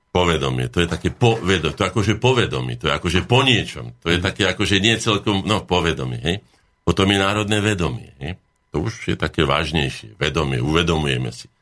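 Very fast and with lively intonation, a man speaks. His pitch is very deep and low, with vocal fry. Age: 60s. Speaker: academic painter. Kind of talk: radio talk show interview.

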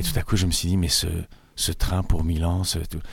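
Somewhat breathy, the voice moves at a fairly quick pace with monotone, flat intonation. The recording is very clean with a silent background. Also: man. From Switzerland, Italian family. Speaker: actor and playwright. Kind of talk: interview. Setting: studio.

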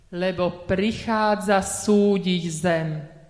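A woman's voice with fairly even intonation, over noticeable background noise. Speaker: lay scripture reader. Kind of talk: reading aloud. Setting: church.

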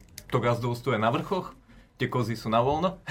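The man has a medium pitch and lively intonation. His pace is moderate. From Slovakia, Žilina. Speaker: apprentice farmer. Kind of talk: interview.

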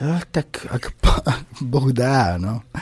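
The speaker is a man. He has a dark, mellow tone. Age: 40s. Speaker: rock band singer. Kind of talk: radio interview. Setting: radio studio.

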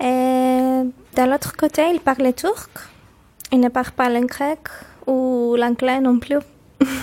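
At a very slow pace with long, frequent pauses, a woman speaks high-pitched in a monotone, flat intonation at very even loudness, in a dry, close sound with no echo. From Cyprus, Limassol. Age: 20s. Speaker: university student and French teacher. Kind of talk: interview. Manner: halting.

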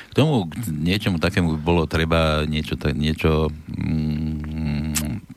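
A man's very deep, low-pitched voice. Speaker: radio host. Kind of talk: casual political talk show. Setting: studio.

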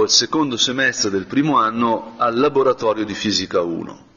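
The man's fairly slow speech plays against noticeable background noise. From northern Italy, Brianza. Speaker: priest. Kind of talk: guided meditation.

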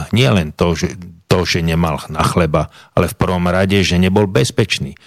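A man speaks at a moderate pace with a very deep, low pitch. The sound is dry and close, with no echo. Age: 60s. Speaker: former police investigator. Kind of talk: studio interview. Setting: studio.

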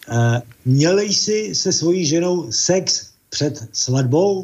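Very slowly, a man with a Czech accent speaks in a dark, mellow tone with lively intonation. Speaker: caller. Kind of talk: casual chat.

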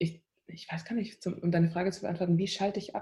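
With a fairly low pitch, a woman's voice comes across as somewhat breathy. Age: 20s. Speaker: singer-songwriter. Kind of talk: interview. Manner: hesitant, many fillers.

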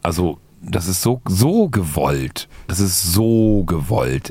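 A man talks with lively intonation while noticeable background noise is audible. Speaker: wrestling podcast host. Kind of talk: casual banter.

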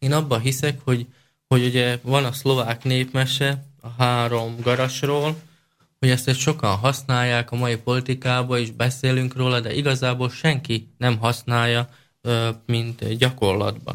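A man's medium-pitched voice holds a monotone, flat intonation as he speaks fairly slowly. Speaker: party leader. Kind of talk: interview. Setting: studio.

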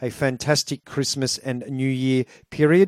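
A man with an Australian accent at a fairly slow pace, fairly even intonation, dry close sound without echo, and a very clean recording over a silent background. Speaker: radio DJ. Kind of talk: radio show links between records.

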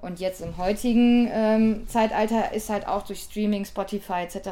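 Moderately paced speech from a woman, dark and mellow in tone, with fairly even intonation. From Ruhr area, Germany. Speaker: DJ, producer and record label owner. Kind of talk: interview.

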